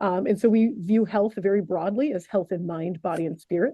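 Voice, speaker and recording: At a fairly quick pace, a woman speaks at medium pitch with an American accent. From upstate New York. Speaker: program director. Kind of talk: information session presentation. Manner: fast.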